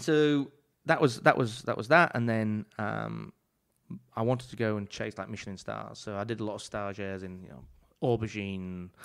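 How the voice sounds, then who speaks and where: Speaking with an English accent, a man leaves long, frequent pauses, and his loudness swings widely. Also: fairly low pitch for a man, ordinary pitch variation, moderate pace. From England. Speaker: chef. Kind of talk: casual chat. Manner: animated.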